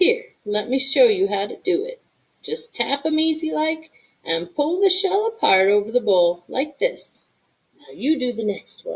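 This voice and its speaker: In a put-on character voice, a woman speaks with a high pitch and a warm tone at a moderate pace. Her pitch swings very widely and her loudness shifts a lot. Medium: read story. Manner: warm, homey, drawling.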